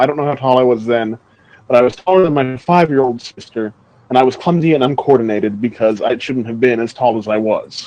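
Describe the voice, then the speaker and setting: A man with an American accent and a normal speaking voice talks at a fairly quick pace and a medium pitch, with ordinary pitch variation. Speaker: movie podcast co-host. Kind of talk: casual chat.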